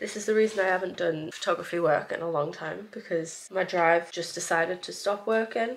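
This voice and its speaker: A woman speaks at a fairly quick pace in a weary tone, with ordinary pitch variation and light background noise. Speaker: vlogger. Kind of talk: casual vlog chat. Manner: weary, under-the-weather voice. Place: home room. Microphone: camera far.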